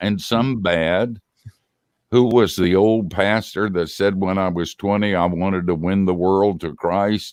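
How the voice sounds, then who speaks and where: Here a man's voice is fairly low in pitch. His pace is very slow and his intonation fairly even. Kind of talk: casual interview. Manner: halting.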